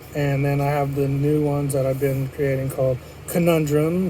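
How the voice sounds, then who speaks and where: A man speaks at a moderate pace in a fairly high voice, with audible room echo and noticeable background noise. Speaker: podcast host. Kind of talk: solo podcast monologue. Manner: monotone.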